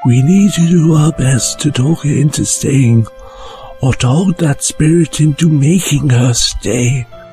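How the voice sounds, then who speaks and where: Over clear background music, a man puts on a character voice. He speaks fairly slowly at a fairly high pitch. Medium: audio drama. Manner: calm, measured.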